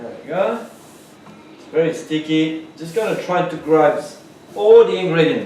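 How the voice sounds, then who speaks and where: Amid noticeable background noise and audible room echo, a man talks at a fairly slow pace and a fairly high pitch with ordinary pitch variation, big swings in loudness and long, frequent pauses. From France. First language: French. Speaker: pastry chef. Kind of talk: cooking tutorial. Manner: casual, chatty.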